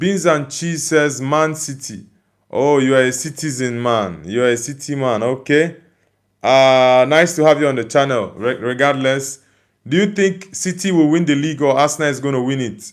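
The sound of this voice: The recording is very clean, with a silent background. A man talks at a moderate pace and a medium pitch. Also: ordinary pitch variation.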